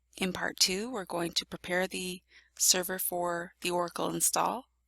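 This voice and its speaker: In a Canadian accent, a woman with a medium pitch and a bright, sharp tone speaks at a moderate pace with vocal fry, the recording very clean with a silent background and a dry, close sound with no echo. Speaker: IT tutorial presenter. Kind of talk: software tutorial screencast narration.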